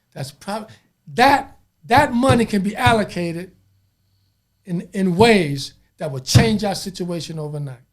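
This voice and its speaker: This man speaks at a fairly slow pace with a high pitch and lively intonation. His loudness swings widely, and his pauses are long and frequent. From Los Angeles, South Central. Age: 60s. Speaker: imam. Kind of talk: podcast interview.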